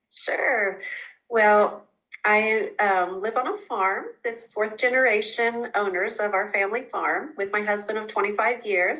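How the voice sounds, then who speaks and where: In an Oklahoma accent, a woman speaks with a bright, sharp tone, a fairly high pitch and fairly even intonation. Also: fairly slow pace. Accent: Oklahoma, US southern plains. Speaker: chiropractor. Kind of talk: interview.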